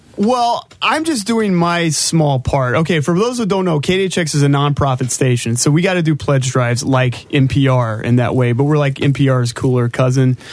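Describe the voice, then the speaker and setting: With noticeable background noise behind him, a man with a fairly high voice talks with lively intonation and hardly any pauses. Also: moderate pace, very even loudness. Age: 30s. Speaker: comedian. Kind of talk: casual chat.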